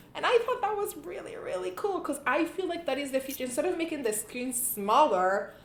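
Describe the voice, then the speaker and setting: With a non-native accent, a woman speaks at a fairly quick pace with hardly any pauses, her high pitch making very wide swings amid audible room echo and noticeable background noise. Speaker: tech YouTuber. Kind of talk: casual tech review vlog. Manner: hesitant, many fillers and restarts.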